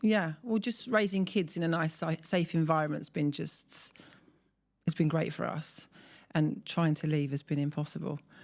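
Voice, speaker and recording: The speaker has a southern English accent. The recording is very clean, with a silent background. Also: woman, fairly low pitch for a woman, ordinary pitch variation, moderate pace. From southern England, Surrey. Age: 40s. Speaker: mother of four, expat. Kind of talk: interview.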